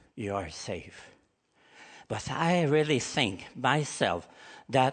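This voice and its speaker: With a Quebec accent, a man talks at a very slow pace. His pitch is fairly high, and his intonation is lively. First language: French. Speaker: preacher. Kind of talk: sermon. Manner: halting.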